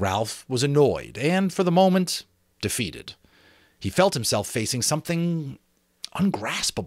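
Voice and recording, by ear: A man speaks at a fairly slow pace in a medium pitch. His pitch swings widely.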